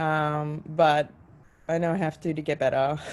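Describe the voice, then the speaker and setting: A woman with an Australian accent speaks at a fairly slow pace in a very deep, low pitch, her intonation monotone and flat. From Australia, Queensland. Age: 30s. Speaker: jazz vocalist and educator. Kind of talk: interview. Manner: hesitant, many fillers.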